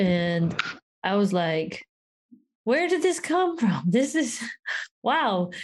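A very slow, somewhat breathy delivery with very wide pitch swings, very even loudness, and long, frequent pauses. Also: woman, fairly high pitch for a woman. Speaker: podcast co-host. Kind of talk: casual film discussion. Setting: early morning call. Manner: enthusiastic.

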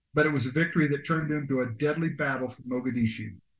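With ordinary pitch variation, a man with a fairly high pitch talks in an unremarkable speaking voice. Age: 60s. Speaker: military veteran, podcast co-host. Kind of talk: casual chat with history segment reading.

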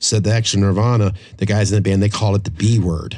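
At a fairly quick pace, a man speaks with a fairly low pitch and a dark, mellow, somewhat breathy tone over a quiet background. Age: 50s. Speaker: podcast host. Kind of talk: casual chat. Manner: animated.

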